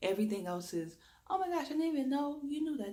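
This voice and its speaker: The speaker has an American accent and a dark, mellow tone that is somewhat breathy, with very wide pitch swings. Audible room echo is present. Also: woman. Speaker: reiki energy healer. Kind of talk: spiritual talk to camera.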